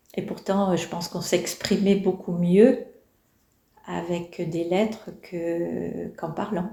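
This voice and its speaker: A very slow, monotone delivery with flat intonation, vocal fry and a dark, mellow tone. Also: woman. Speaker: elderly interviewee. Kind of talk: reflective interview. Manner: hesitant, many fillers.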